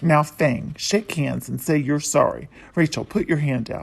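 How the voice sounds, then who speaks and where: At a moderate pace, someone uses a put-on character voice pitched low-to-middle. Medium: read story. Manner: warm, gently firm.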